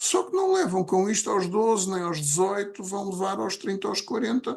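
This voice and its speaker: His pitch is high for a man, and he talks at a moderate pace with ordinary pitch variation. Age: 60s. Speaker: podcast co-host. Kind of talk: casual chat.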